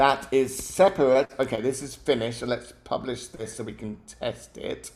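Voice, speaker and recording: A man with a British accent talks at a moderate pace and medium pitch. His pitch varies in an ordinary way while his loudness swings a lot. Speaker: app-building tutor. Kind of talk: live tutorial. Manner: mumbling; hesitant, many fillers.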